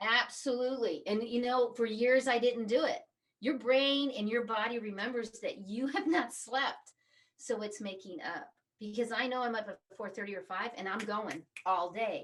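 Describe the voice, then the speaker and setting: At a moderate pace, a woman speaks in a fairly high pitch with ordinary variation. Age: 50s. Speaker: reiki master and empowerment coach. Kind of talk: casual interview chat. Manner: animated.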